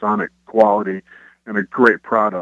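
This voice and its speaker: In a Kentucky accent, the voice has a bright, sharp tone and a dry, close sound with no echo. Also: man. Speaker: rock band frontman and guitarist. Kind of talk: radio interview.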